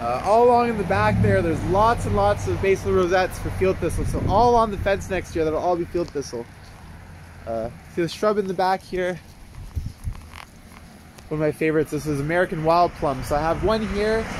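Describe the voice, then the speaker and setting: Over noticeable background noise, a man talks at a high pitch and a fairly quick pace, with very wide pitch swings and long, frequent pauses. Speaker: native plant gardener. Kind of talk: casual garden tour talk to camera. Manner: casual, rambling with fillers.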